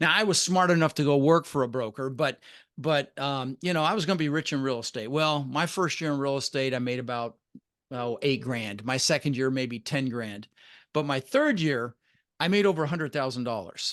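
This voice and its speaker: A man talks at a fairly quick pace in a plain, everyday voice against a quiet background. His pitch is fairly high, with ordinary pitch variation. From Denver, Colorado, US (Dutch-born). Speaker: real estate investor. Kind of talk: podcast interview.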